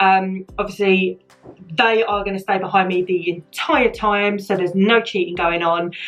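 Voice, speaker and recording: With a British accent and a medium pitch, a woman talks at a moderate pace with fairly even intonation. Music plays in the background. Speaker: beauty vlogger. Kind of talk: casual talk to camera. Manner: light-hearted, chatty.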